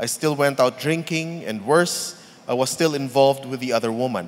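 Noticeable background noise sits behind the speech. The man keeps to a moderate pace. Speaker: church member giving testimony. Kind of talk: testimony.

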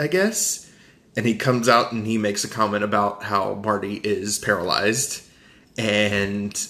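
Bright, sharp tone from a man with a fairly low pitch. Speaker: podcast host reviewing movies. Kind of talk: casual chat. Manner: animated.

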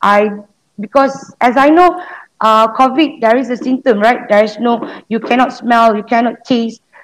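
High-pitched female voice with a Malaysian accent, ordinary pitch variation and a moderate pace. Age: 30s. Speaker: COVID survivor, customer service officer. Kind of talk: interview.

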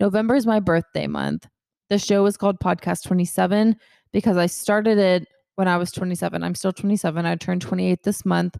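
A woman speaks very fast at a medium pitch, her tone dark and mellow and her intonation fairly even. The recording is very clean and dry, close with no echo and a silent background. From Georgia, US South (Kennesaw, near Atlanta). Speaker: podcast host. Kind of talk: casual solo chat.

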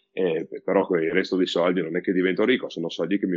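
A man speaks with a very deep, low pitch at a fairly quick pace. His pitch varies in an ordinary way. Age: 30s. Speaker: priest. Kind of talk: casual interview.

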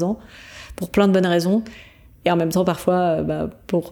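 A woman's fairly low, dark, mellow voice, monotone and flat, at a fairly quick pace. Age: 30s. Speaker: podcaster and coach on burnout. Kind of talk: interview. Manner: hesitant.

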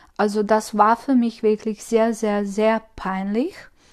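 In a Croatian accent, a woman speaks at a fairly slow pace with a fairly high pitch and flat, monotone intonation against a quiet background. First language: Croatian (speaking German). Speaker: spiritual coach. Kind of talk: solo podcast monologue. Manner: hesitant, many fillers.

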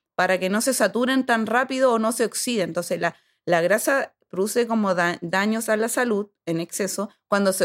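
Heard on a very clean recording with a silent background, a woman has a plain, everyday voice at medium pitch, with ordinary pitch variation and a moderate pace. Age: 30s. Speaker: sports nutritionist. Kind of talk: casual chat.

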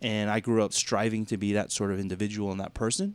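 Speaking at a fairly quick pace, a man with a medium pitch, an American accent and an ordinary speaking voice talks. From US South, Georgia (Duluth, Atlanta suburbs). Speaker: pastor. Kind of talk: casual podcast conversation.

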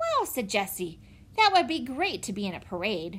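Pitched high, a woman's voice carries a warm tone and makes very wide pitch swings. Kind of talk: children's audiobook reading. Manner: warm, clear, steady pace suited to young listeners.

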